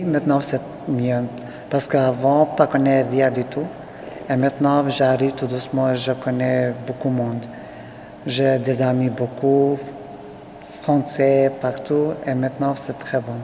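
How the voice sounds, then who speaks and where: Someone with a non-native accent speaks at a very slow pace with long, frequent pauses over noticeable background noise. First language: not French (speaking French). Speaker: refugee interviewee. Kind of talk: interview testimony. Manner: halting.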